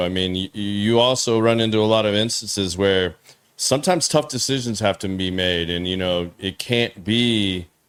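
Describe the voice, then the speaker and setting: At a moderate pace, a normal speaking voice talks. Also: man. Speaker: podcast host. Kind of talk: casual chat.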